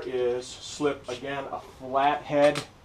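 A man talks in a flat monotone while light noise sits in the background. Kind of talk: tutorial. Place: workshop. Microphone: camera far.

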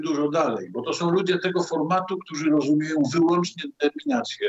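Audible room echo on a man's speech, the background otherwise quiet. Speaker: political commentator. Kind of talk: political commentary. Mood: earnest, argumentative. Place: home room. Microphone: video call.

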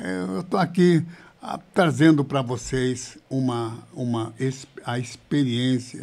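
Here a man speaks at a very slow pace. His medium-pitched voice shows ordinary pitch variation. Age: 70s. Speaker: pastor. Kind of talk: interview testimony. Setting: live video podcast. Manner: halting, repeats words. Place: studio. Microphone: studio mic.

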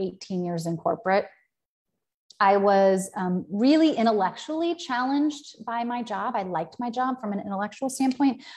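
A woman talks at a moderate pace with lively intonation, the background quiet. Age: 40s. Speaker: business coach. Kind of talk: live-stream talk. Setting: live video stream. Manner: casual, filler-heavy. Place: home room. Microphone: earbuds.

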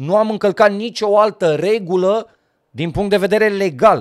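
The background stays quiet as a man talks at a fairly slow pace. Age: 40s. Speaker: YouTuber, football fan vlogger; sports vlogger. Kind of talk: direct-to-camera vlog rant. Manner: halting, long pauses. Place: home room.

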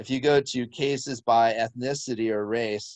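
A man speaks at a medium pitch with fairly even intonation. His pace is very slow, and the background is quiet. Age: 50s. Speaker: physician; presenter. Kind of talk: webinar presentation. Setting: video call. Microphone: video call.

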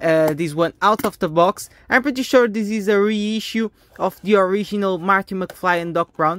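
At a moderate pace, a woman speaks with ordinary pitch variation in a dry sound with no echo. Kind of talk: casual unboxing commentary. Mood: enthusiastic. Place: home room. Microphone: phone near.

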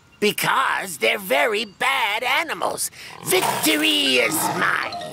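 Over background music, a cartoonish character voice drawls very slowly at a fairly high pitch, swinging very widely up and down. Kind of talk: children's cartoon dialogue.

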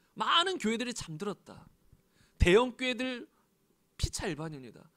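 Against a quiet background, a man projects a raised voice at an extremely high pitch, with a bright, sharp tone, very wide pitch swings and a moderate pace. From South Korea. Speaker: pastor. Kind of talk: sermon. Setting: church. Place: church. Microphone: handheld.

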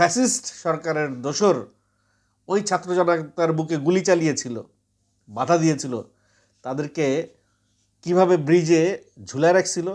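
On a very clean recording with a silent background, a man speaks at a high pitch with ordinary pitch variation. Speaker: political commentary vlogger. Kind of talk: monologue to camera.

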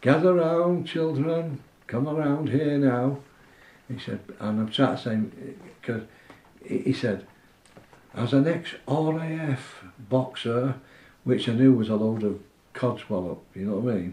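Speaking at a fairly slow pace with long, frequent pauses and ordinary pitch variation, a man is heard with audible room echo. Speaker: boxing trainer. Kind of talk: interview answer. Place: home room.

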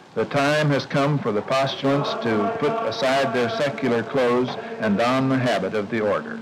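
A man speaks at a moderate pace in a medium pitch, his solemn tone swinging very widely in pitch, with hardly any pauses, very even loudness and noticeable background noise. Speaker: documentary narrator and interviewer. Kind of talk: 1960s educational film narration, formal and measured. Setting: monastery. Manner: formal; measured, earnest, solemn. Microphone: old recording.

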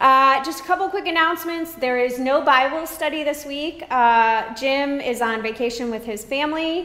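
In a room with audible echo, a woman speaks in a raised, projected voice at a moderate pace, with ordinary pitch variation and hardly any pauses. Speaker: pastor. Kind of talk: announcements to congregation. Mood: warm, friendly. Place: church. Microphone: camera far.

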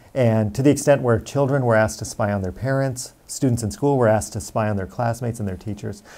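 A man's dark, mellow tone in an American accent, at a very fast pace with hardly any pauses and ordinary pitch variation. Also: medium pitch for a man. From Romania, then US. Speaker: tech company founder, former HR executive; interviewee. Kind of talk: interview monologue. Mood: earnest, firm on privacy. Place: office. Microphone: lapel.

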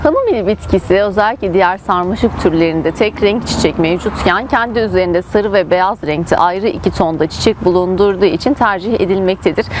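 A woman at a fairly quick pace over noticeable background noise. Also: dry sound with no echo. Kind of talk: tutorial. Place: garden.

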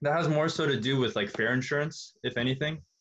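Fairly quick speech from a man. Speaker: tutor. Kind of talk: tutorial. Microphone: webcam.

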